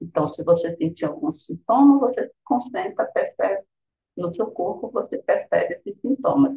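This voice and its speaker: A woman's loudness swings widely as she talks at a moderate pace. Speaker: meditation teacher. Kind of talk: guided meditation.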